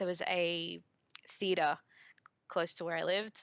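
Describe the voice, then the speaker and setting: In an Australian accent, a woman speaks at a fairly low pitch with monotone, flat intonation. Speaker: podcast guest, gamer. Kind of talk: casual chat.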